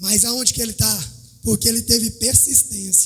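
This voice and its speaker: A man speaks fairly slowly with music in the background. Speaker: church member. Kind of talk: sermon. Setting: church.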